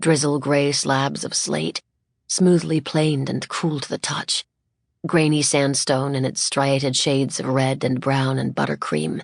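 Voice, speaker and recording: A woman's very deep, low pitch with vocal fry, at a moderate pace, in a dry, close sound with no echo. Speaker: audiobook narrator. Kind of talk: audiobook narration. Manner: lyrical, skilled delivery.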